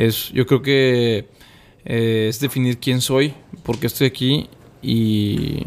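Fairly even intonation from a man talking very slowly. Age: 20s. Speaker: podcast guest, social entrepreneur. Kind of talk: casual interview chat.

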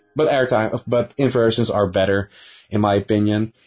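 Over background music, a man talks at a moderate pace. His medium pitch stays fairly even. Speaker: YouTube coaster reviewer. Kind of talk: recorded statement.

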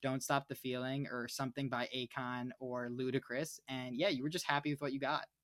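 A man talks at a fairly quick pace with fairly even intonation in a plain, everyday voice. The recording is very clean and dry, close with no echo, over a silent background. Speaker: podcast co-host. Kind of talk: casual chat.

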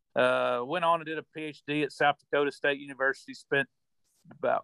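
In a dry, close sound with no echo, a man with a fairly high pitch and bright, sharp tone speaks at a moderate pace with fairly even intonation. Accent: Missouri. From southeast Missouri. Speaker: cattle rancher. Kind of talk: interview. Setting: remote call. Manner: halting, repeats words.

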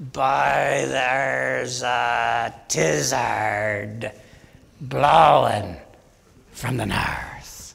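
A raspy put-on character voice, very slow, with very wide pitch swings. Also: man, fairly low pitch for a man. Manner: drawn-out, exaggerated.

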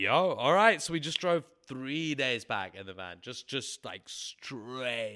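In an English accent, a man with a medium pitch and a bright, sharp tone speaks at a very slow pace, his pitch swinging very widely and his loudness swinging a lot. The recording is very clean, the background silent. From England. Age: 30s. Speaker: musician. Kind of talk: casual chat.

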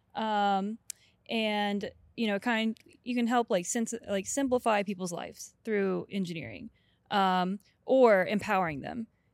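A woman speaks in a normal speaking voice at a medium pitch, with fairly even intonation and a fairly slow pace. The sound is dry and close with no echo, on a very clean recording with a silent background. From US South, Atlanta, Georgia. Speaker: flight software engineer. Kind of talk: casual chat.

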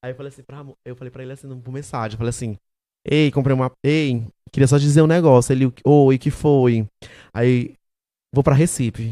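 In an animated tone, a man speaks at a very fast pace with a fairly high pitch. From Maranhão, Brazil (Santo Inês). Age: 20s. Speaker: digital content creator, comedian. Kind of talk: casual chat.

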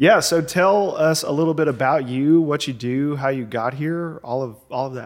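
A man talks with a plain, everyday voice at a fairly high pitch and ordinary pitch variation. His pace is moderate, with hardly any pauses. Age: 30s. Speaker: podcast host. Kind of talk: casual chat.

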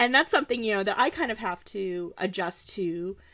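Lively in intonation, a woman with an unremarkable speaking voice and medium pitch is heard on a very clean recording with a silent background. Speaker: podcast host. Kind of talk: casual interview conversation.

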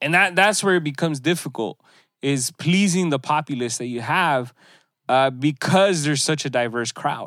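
This man has an unremarkable speaking voice, fairly high in pitch, with ordinary pitch variation at a moderate pace. The recording is very clean, the background silent. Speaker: podcast host. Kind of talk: casual chat.

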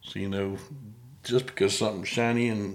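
The speech moves at a moderate pace. Its intonation is flat and monotone. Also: man. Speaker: podcast host. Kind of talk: casual interview. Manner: halting, stutters at times.

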